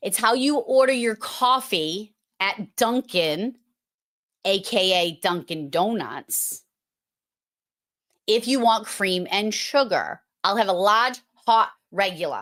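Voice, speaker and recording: The speaker has an American accent. The pace is very slow, with long, frequent pauses. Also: woman, fairly high pitch for a woman, ordinary pitch variation. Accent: Boston accent, strong when at home. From Massachusetts (Boston area). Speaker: podcast host for emergency dispatchers. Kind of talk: live online show, casual chat. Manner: animated.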